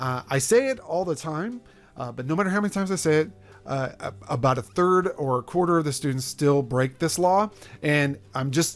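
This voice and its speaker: Fairly quick delivery with lively intonation. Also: man. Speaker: math professor. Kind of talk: lecture. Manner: fast.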